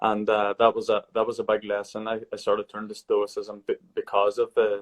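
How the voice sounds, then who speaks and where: A man's fairly quick speech in a strong Irish accent, dry and close with no echo. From Ireland. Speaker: podcast host. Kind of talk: casual book discussion. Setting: live video stream.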